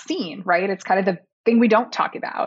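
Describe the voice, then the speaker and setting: This woman has a normal speaking voice at a medium pitch. She speaks at a moderate pace. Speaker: company founder and CEO. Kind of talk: interview conversation.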